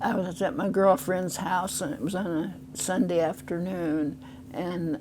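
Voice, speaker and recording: A woman with an American accent and a fairly low pitch speaks amid audible room echo and noticeable background noise. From US Midwest, Decatur, Illinois. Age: 90s. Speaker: oral history interviewee. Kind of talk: interview. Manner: halting.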